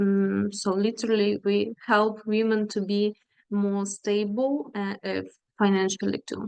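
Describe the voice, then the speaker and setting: A woman talks with a Ukrainian accent. Her pace is very slow. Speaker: feminist activist, NGO worker. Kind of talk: panel presentation. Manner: halting, many fillers.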